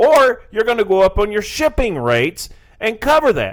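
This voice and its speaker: In a Southern US accent, a man talks at a fairly slow pace. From Tennessee, US South. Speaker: financial advisor. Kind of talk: radio talk interview about investing. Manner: conversational, explanatory.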